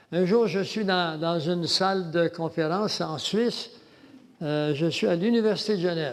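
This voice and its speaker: A man with a high voice speaks in a space with audible room echo. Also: ordinary pitch variation, fairly slow pace. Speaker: lecturer on religion and world government. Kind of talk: lecture. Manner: halting.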